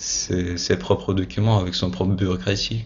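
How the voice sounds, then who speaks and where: A man with a very deep, low, somewhat breathy voice speaks at a fairly slow pace. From Russia (Moscow). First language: Russian (speaking French). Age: 20s. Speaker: university student. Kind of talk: interview. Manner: halting, many hesitations and repeated words.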